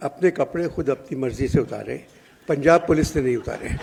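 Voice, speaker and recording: Noticeable background noise sits behind a man with a fairly high pitch and fairly even intonation. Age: 80s+. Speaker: elderly literary figure at press conference. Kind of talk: press conference remarks. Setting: press conference.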